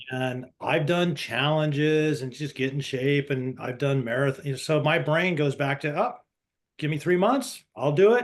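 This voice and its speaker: A man's fairly high-pitched, fairly slow delivery with ordinary pitch variation, a normal speaking voice. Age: 60s. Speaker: coaching student. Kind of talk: casual group discussion. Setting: video call.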